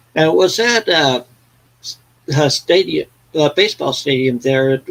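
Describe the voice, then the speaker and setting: A man speaks with lively intonation at a fairly high pitch, keeping his loudness very even. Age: 60s. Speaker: vinyl collector, live stream host. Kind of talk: casual live stream chat. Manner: halting, many fillers.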